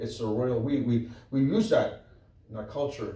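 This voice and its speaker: The room echo is clearly audible around this man's voice. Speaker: preacher, Bible teacher. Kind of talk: sermon, Bible teaching. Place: church.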